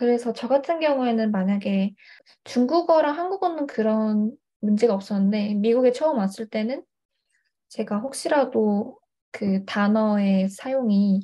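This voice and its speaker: Her voice is somewhat breathy and fairly high for a woman. She speaks at a fairly slow pace. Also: lively intonation. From China (Hangzhou), Korean family. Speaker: university student and tutor. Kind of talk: interview. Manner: hesitant, many fillers.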